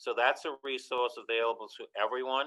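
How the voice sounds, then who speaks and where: A man with a New Orleans accent at a moderate pace. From New Orleans, French Quarter. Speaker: architectural historian. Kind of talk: lecture Q&A. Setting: video call.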